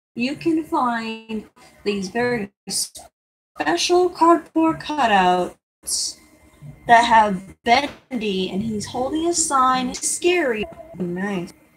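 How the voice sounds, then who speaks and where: A woman speaks at a very slow pace with a fairly high pitch. Her pitch swings very widely. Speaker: drawing livestreamer. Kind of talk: casual live stream commentary while drawing. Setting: live stream. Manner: halting.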